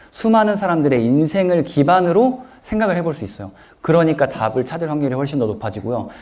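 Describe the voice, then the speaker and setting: A man's fairly high voice at a fairly quick pace, very wide pitch swings, audible room echo. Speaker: author and self-help speaker. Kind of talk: lecture Q&A with audience.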